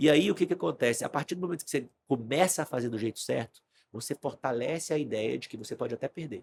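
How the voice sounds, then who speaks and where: A man speaks at a very fast pace in a fairly high voice with lively intonation, the sound dry and close with no echo. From Brazil, Brasília. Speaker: stock market trader, investment firm client. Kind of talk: podcast interview conversation.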